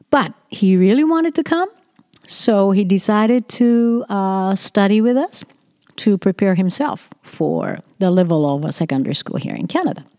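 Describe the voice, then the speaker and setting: A woman's medium-pitched voice, dark and mellow in tone, at a moderate pace with very wide pitch swings. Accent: Japanese. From Japan. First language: Japanese. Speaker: education consultant and podcaster. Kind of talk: opinion monologue. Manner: read from script.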